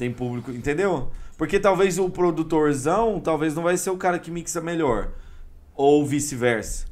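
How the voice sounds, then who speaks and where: An unremarkable speaking voice from a man, fairly high in pitch, at a moderate pace with ordinary pitch variation. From Brazil, Goiânia (Goiás). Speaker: electronic music DJ. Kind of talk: casual interview chat.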